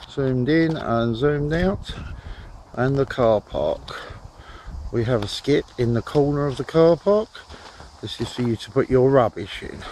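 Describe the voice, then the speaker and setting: A man with a fairly high voice speaks fairly slowly, with long, frequent pauses and noticeable noise in the background. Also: ordinary pitch variation. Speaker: fishery owner. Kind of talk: video walk-through tour.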